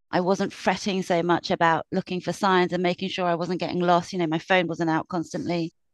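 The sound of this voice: A woman talks with a British accent over a quiet background. Her intonation stays fairly even.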